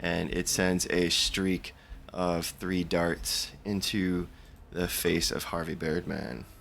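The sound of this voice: Over light background noise, a man uses a raspy put-on character voice with a slight French accent, very deep and low, at a very slow pace with fairly even intonation. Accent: slight French on the word bird.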